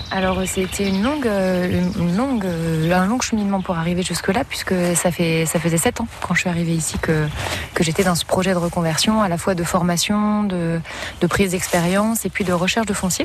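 Noticeable background noise sits under a woman's voice. She talks at a moderate pace with a medium pitch and ordinary pitch variation. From Champagne-Ardenne, France. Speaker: organic market gardener. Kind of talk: interview. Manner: halting.

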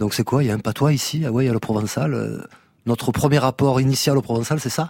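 In a very clean recording with a silent background and a dry, close sound with no echo, a man talks at a very fast pace, at a medium pitch with ordinary pitch variation. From Marseille, southern France. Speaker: reggae musician. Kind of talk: radio interview. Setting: radio studio.

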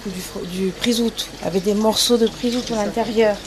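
A woman at a moderate pace with fairly even intonation, over noticeable background noise. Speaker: farm inn cook. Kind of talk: casual interview while cooking. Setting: farm inn kitchen and garden.

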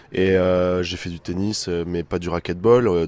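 A man speaks with a very deep, low voice and fairly even intonation. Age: 20s. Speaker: amateur racquetball player. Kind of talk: interview. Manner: hesitant, many fillers.

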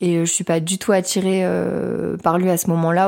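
A woman with a fairly low pitch and monotone, flat intonation, on a very clean recording with a silent background. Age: 20s. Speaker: soldier. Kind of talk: testimony. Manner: halting.

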